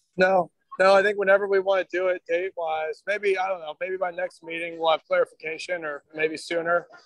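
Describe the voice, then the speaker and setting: A man with a high voice talks at a fairly quick pace in a flat monotone with hardly any pauses, the sound dry and close with no echo. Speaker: advisory committee member. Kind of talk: committee meeting discussion.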